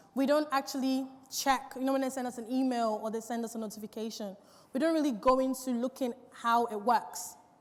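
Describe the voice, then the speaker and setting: Ordinary pitch variation at a moderate speed, over noticeable background noise. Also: woman. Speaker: business owner giving a talk on social media. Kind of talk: seminar talk. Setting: stage with audience.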